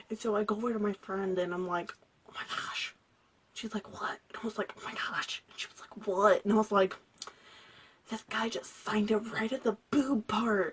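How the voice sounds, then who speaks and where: Over noticeable background noise, a woman with a medium pitch speaks in an animated tone. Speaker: vlogger. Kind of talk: casual storytelling vlog. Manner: loud.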